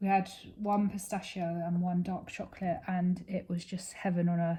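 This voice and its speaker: A woman speaks in a dark, mellow tone that is somewhat breathy. Her intonation stays monotone and flat. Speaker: crafting YouTuber. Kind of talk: casual chat while crafting. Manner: slow; halting.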